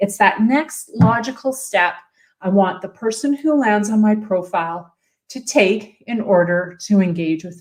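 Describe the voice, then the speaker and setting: Speaking with a Canadian accent, a woman with a fairly high pitch and somewhat breathy, energetic tone goes at a fairly slow pace with ordinary pitch variation. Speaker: personal branding coach. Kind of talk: livestream tutorial. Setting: live video stream, standing at desk.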